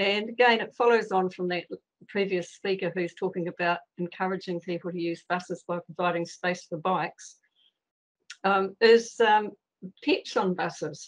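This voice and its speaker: Using a New Zealand accent, a woman talks at a medium pitch and moderate pace with fairly even intonation. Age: 70s. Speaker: member of the public making a submission. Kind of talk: public submission at council meeting. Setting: video call. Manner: hesitant, many fillers.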